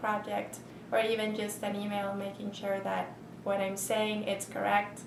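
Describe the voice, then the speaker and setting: The speaker has a non-native accent. There is noticeable background noise. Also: woman. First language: not English. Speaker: university faculty member; university teacher. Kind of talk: interview. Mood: friendly, reflective. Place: office.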